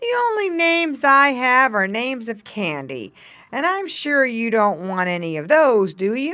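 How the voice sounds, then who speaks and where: A female-sounding put-on character voice is high-pitched, raised and projected. It swings very widely in pitch at a moderate pace. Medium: read story.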